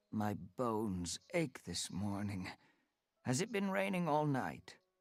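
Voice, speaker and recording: A man puts on a character voice at a medium pitch. He delivers it at a fairly slow pace. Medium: read story. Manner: gruff, snappish.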